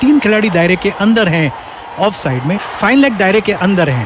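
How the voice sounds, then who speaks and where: With noticeable noise in the background, a man talks at a moderate speed, his intonation lively. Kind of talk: cricket expert co-commentary analysis. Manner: calm, analytical.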